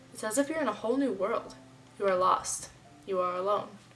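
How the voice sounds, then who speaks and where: A woman's very fast speech with lively intonation over music in the background. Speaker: student. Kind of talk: reading aloud.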